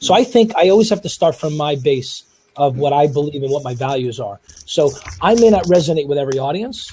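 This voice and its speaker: Rattling along at a very fast pace, a man with a New York accent uses a fairly high pitch and lively intonation. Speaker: speaker. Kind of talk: panel discussion.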